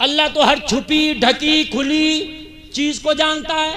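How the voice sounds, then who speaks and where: A man's extremely high-pitched voice in a monotone, flat intonation. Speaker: Islamic scholar preacher. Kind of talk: sermon delivered to a live crowd. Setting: public gathering with microphone. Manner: humorous, rhetorical, call-and-response with audience.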